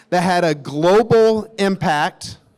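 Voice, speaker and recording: A man with a Tennessee accent speaks in an animated tone. His pitch is high. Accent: Southern US (Tennessee). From US South, Nashville, Tennessee. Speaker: company executive. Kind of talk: conference talk. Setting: stage with audience.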